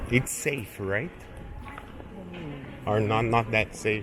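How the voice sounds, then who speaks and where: A fairly low-voiced man with a Portuguese accent at a very slow pace, music in the background. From Brazil. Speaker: travel vlogger. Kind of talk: casual street interview.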